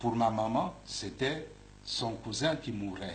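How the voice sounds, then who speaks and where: The voice moves at a very slow pace with ordinary pitch variation. Audible room echo surrounds it. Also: man. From Republic of the Congo. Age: 60s. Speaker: bishop. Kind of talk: interview. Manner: halting, repeats words.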